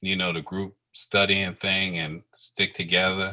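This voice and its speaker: Against a quiet background, a man with a very deep, low pitch speaks in a bright, sharp tone at a fairly slow pace. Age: 60s. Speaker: airline pilot. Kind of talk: interview.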